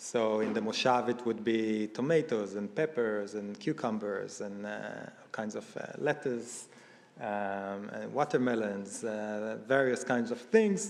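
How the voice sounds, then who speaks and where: A man talks with an Israeli accent. His pace is fairly slow and his pitch varies in an ordinary way. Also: medium pitch for a man. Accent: Israeli accent, noticeable. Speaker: event speaker. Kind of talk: personal testimony talk. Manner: halting, many fillers.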